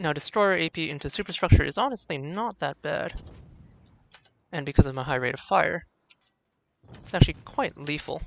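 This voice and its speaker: The pace is fairly quick. Long pauses come often. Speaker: gaming video creator. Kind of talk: gameplay commentary. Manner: fast.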